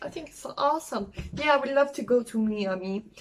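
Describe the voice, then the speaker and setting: A woman with a French accent speaks at a fairly high pitch with ordinary pitch variation. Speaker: travel vlogger. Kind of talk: casual vlog talk. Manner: halting, many fillers; enthusiastic.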